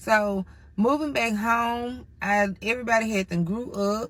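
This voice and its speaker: The speaker is a woman with a fairly high pitch. Her tone is animated. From Mississippi, US South. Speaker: storyteller. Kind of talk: casual storytime monologue. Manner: animated, conversational.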